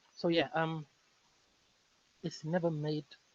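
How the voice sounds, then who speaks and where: A man with a West African accent speaks at a fairly slow pace in a somewhat breathy, fairly high voice, recorded dry and close with no echo. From Senegal. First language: Fulani. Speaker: linguist. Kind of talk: casual interview conversation.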